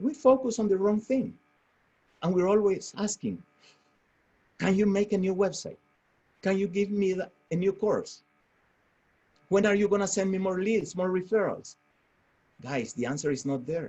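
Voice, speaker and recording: A man with a strong non-native accent speaks at a high pitch in a dark, mellow tone, with ordinary pitch variation. His pace is moderate, with long, frequent pauses. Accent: strong foreign. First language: Spanish. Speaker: real estate franchise owner. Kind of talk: motivational webinar talk. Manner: halting.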